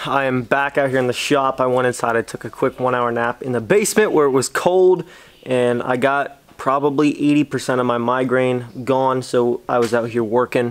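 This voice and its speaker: The voice moves at a moderate pace with fairly even intonation. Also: man. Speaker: diesel truck vlogger. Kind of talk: casual vlog chat. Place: garage. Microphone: phone near.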